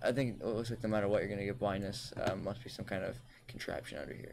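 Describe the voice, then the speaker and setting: Speaking at a fairly quick pace, a man uses a medium pitch with some vocal fry. His intonation stays fairly even. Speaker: gaming channel host. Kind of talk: casual gaming commentary.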